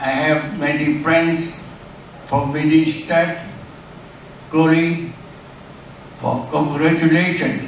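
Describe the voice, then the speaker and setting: Amid noticeable background noise and audible room echo, a fairly high-pitched man speaks in a monotone, flat intonation at a very slow pace with long, frequent pauses. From South Vietnam. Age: 80s+. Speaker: retired engineering executive. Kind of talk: birthday speech. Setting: restaurant party with guests. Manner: halting.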